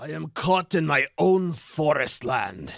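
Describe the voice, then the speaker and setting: A man uses a put-on character voice at a fairly high pitch with lively intonation. He talks at a fairly slow pace in a dry, close sound with no echo. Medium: audio drama.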